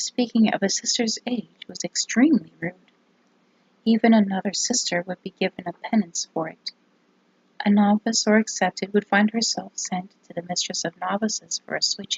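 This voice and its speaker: Somewhat breathy, the voice moves at a moderate pace with fairly even intonation and big swings in loudness. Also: woman, fairly high pitch for a woman. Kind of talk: ASMR whispered book reading.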